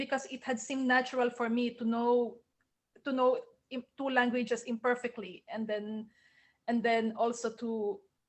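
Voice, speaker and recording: In a Filipino accent, a woman with a high pitch talks at a moderate pace. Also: long, frequent pauses. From Philippines. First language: Tagalog. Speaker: novelist. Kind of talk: Q&A at book launch. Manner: halting, repeats words.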